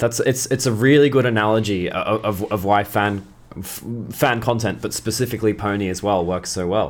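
With fairly even intonation, a man talks at a fairly quick pace and fairly low pitch in a very clean recording with a silent background. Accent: Australian. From Australia. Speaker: podcast host. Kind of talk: interview, casual chat. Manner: halting.

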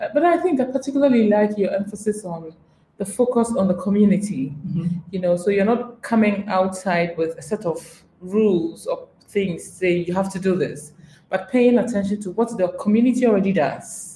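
A woman's dark, mellow, somewhat breathy voice. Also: medium pitch for a woman, moderate pace. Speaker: podcast host. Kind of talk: interview conversation.

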